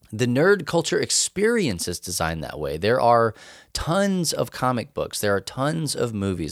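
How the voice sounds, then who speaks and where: A man talks at a moderate pace in a West Texas accent. The recording is very clean, with a silent background. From West Texas / eastern New Mexico. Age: 30s. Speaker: podcast host, nerd culture missionary. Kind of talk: casual chat.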